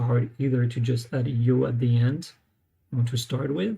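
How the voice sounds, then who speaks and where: With a non-native accent, the speaker moves along at a moderate pace. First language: not English. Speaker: language learner vlogger. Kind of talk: live tutorial. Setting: live stream on laptop. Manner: hesitant, many fillers.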